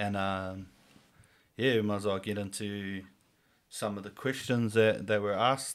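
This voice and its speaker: A man with a New Zealand accent speaks at a fairly slow pace with long, frequent pauses and a monotone, flat intonation, on a very clean recording with a silent background. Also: fairly low pitch for a man. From New Zealand, Whangarei. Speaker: podcast host. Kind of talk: casual chat.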